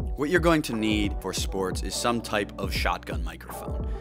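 Over clear background music, a man with a very deep, low pitch talks at a fairly quick pace. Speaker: video creator. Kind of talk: tutorial. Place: home room. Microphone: lapel.

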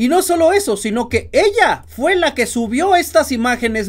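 A man speaks fairly slowly in an animated tone with very wide pitch swings against a quiet background. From Mexico. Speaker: political commentary youtuber. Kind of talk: political commentary monologue. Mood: indignant, sarcastic. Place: home room.

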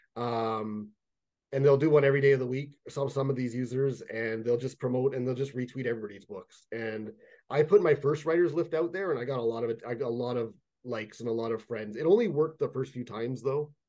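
A man's dark, mellow voice with a Canadian accent, fairly quick in pace and ordinary in pitch variation, against a quiet background. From Canada, Toronto (Jane and Finch area). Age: 30s. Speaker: fantasy writer. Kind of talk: casual interview chat. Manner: halting, many fillers and repetitions. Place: home room. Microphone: webcam.

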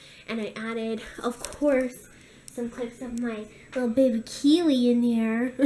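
Light background noise runs under a woman whose intonation stays fairly even. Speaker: daily vlogger. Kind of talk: casual vlog chat. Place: kitchen. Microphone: phone near.

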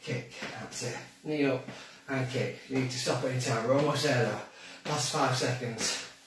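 Through audible room echo and noticeable background noise, a man speaks at a moderate pace with monotone, flat intonation. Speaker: fitness instructor. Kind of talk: workout instruction. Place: kitchen. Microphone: camera far.

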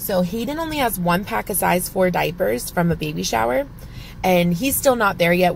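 A woman speaks in an unremarkable speaking voice with a fairly low pitch. The sound is dry with no echo, and there is light background noise. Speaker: couponing vlogger. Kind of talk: casual vlog chat. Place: car. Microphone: phone near.

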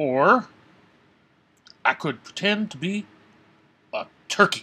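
A man performs a cartoonish character voice with a bright, sharp tone, a slightly husky edge and fairly high pitch. His intonation is lively while the pace stays slow.

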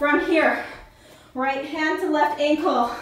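A woman is talking. Audible room echo surrounds her voice. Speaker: fitness instructor. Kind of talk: workout instruction. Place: home room. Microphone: camera far.

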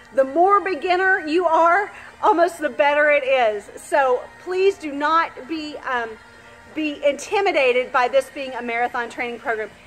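A woman speaks with a high pitch at a moderate pace. Faint music plays in the background. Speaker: gym coach. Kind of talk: casual announcement to gym members. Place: gym. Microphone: phone near.

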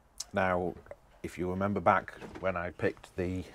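A man with a very deep, low voice talks at a moderate pace, the sound dry with no echo. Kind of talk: tutorial. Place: boat. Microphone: phone near.

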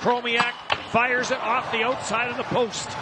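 Noticeable background noise sits behind a man with an extremely high pitch. He speaks at a moderate pace. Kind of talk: hockey play-by-play commentary. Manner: rattles off passes and shots in a continuous stream.

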